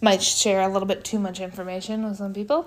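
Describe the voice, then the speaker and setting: A woman speaks in an energetic, animated tone. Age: 20s. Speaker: podcast host. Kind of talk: casual monologue.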